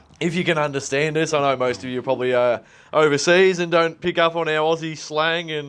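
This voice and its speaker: Recorded very cleanly against a silent background, a man with an Australian accent talks at a fairly quick pace in a fairly high pitch. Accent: thick Australian. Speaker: bodywork therapist. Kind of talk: casual chat. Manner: casual, filler-heavy.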